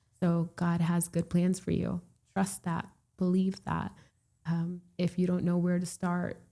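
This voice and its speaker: With a Florida accent, a woman speaks at a fairly slow pace in a somewhat breathy, dark, mellow voice, her fairly low pitch held in a monotone, flat intonation at very even loudness. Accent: American English, Florida. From Puerto Rico, raised in Florida from age three. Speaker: real estate broker. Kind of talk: casual interview chat.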